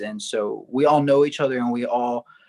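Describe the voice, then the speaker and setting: A man with an American accent speaks at a medium pitch and a moderate pace. It is a plain, everyday voice. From Texas, San Antonio south side. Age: 20s. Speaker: singer-songwriter. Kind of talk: interview.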